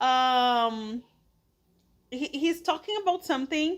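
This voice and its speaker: A woman with a Portuguese accent and lively intonation, on a very clean recording with a silent background. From Brazil (São Paulo, Pernambuco family). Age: 30s. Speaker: English teacher. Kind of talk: casual podcast monologue for English learners. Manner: slow, clear with hesitations.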